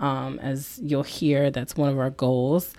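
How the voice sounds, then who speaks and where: Very clean, with a silent background, this recording has a woman with an American accent speaking at a very deep, low pitch. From US South / East Coast, military brat. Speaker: podcast co-host, government worker. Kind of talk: casual chat.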